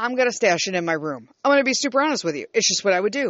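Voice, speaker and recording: A woman is speaking. Her pitch swings very widely. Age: 50s. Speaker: podcaster doing solo rant. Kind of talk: angry rant. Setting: closet recording studio. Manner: rambling, stumbling and repeating words when agitated.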